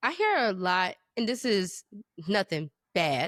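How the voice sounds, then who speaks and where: The woman has a medium pitch and a normal speaking voice. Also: dry, close sound with no echo. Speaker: podcast co-host. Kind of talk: casual chat.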